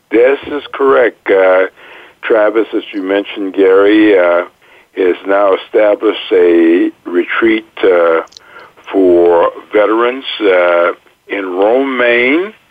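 With an American accent, a man talks at a very slow pace in a fairly low pitch with ordinary pitch variation. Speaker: radio co-host, retired army officer. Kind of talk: radio interview.

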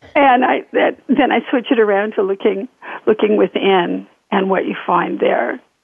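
A woman with an American accent talks at a moderate pace in an ordinary speaking voice. Her pitch is fairly high and her intonation lively. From Northern California. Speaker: author and spiritual healer. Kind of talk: interview.

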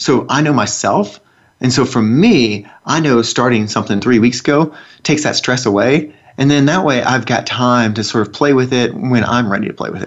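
Ordinary pitch variation runs through a man's speech in a Southern US accent. He talks at a moderate pace. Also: medium pitch for a man. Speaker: radio host. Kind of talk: casual co-hosted radio talk. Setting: studio.

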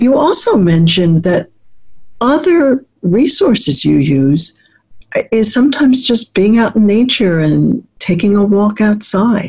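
Her warm, somewhat breathy voice is fairly high, with very wide pitch swings and very even loudness, as the woman speaks at a fairly slow pace. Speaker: radio host and psychologist. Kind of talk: radio show interview. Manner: polished, warm and measured, professional radio-host delivery.

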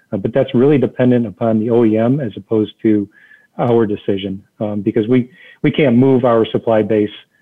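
An unremarkable speaking voice from a man with an American accent, medium in pitch, fairly quick, with fairly even intonation. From Detroit area, Michigan. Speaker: automotive executive. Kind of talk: interview.

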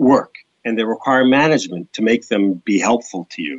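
The pace is moderate. Pitch variation is ordinary. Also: man. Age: 60s. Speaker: business professor and author. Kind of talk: interview. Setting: radio show. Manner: halting.

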